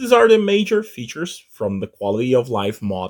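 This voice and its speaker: Speaking at a moderate pace, a man has a non-native accent. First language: not English. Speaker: gaming YouTuber. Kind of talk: gameplay tutorial commentary. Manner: halting, with repeated words.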